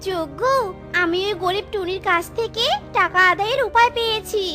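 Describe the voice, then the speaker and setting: In a cartoonish character voice, a female-sounding voice pitched extremely high for a woman talks at a moderate pace over clear music in the background. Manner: scornful, harsh.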